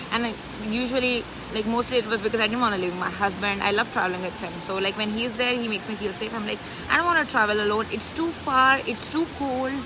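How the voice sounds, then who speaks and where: A woman with an Indian accent, very fast and animated, fairly high in pitch with ordinary pitch variation, over noticeable background noise. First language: an Indian language. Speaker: business coach. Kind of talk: live stream chat.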